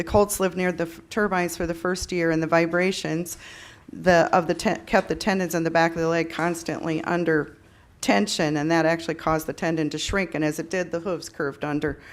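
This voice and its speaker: With an Upper Midwest accent, a woman speaks fairly quickly at a fairly low pitch, her intonation fairly even. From South Dakota, Yankton County. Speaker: farmer speaking at public hearing. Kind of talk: public comment at hearing. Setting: public meeting. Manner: halting.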